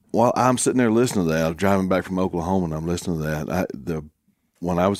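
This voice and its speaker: A man's very deep, low voice sits on a very clean recording with a silent background. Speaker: former undercover narcotics officer. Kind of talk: casual chat.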